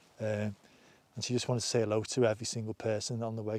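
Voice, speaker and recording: This man speaks with a northern English accent at a very fast pace. His tone is dark and mellow. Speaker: outdoor vlogger. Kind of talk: casual chat. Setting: outdoors. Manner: halting.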